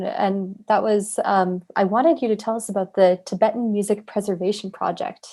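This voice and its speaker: A woman at a fairly high pitch and moderate pace, a plain, everyday voice against a quiet background. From Canada. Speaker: interviewer and artist. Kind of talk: interview.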